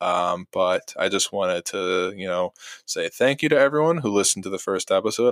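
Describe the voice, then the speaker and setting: An ordinary speaking voice from a man with an American accent, fairly low in pitch, at a moderate pace, with a dry, close sound and no echo. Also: very clean recording, silent background. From New Jersey. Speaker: podcast co-host, hockey fan. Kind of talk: casual chat.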